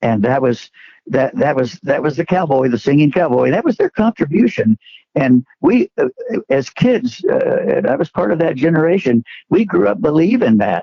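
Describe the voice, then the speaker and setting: This man's voice swings very widely up and down in pitch. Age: 80s+. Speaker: western history enthusiast. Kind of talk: interview. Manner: halting.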